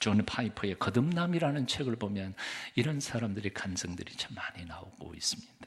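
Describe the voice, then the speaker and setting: Somewhat breathy and fairly low, a man speaks at a fairly quick pace with lively intonation. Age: 60s. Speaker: pastor. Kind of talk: sermon. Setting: church.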